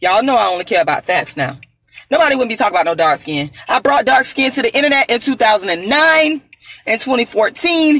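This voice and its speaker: The speaker moves at a fairly quick pace, with very wide pitch swings. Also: woman, high pitch for a woman. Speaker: activist, author and performer. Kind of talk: angry rant, boastful self-promotion. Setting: on the road, solo video. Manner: loud, defiant, emphatic.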